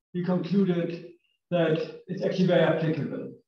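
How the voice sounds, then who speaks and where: With audible room echo, a man speaks at a moderate pace in a high voice. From northern Germany. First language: German. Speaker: engineer, company technical director. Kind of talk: technical lecture. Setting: lecture room with audience.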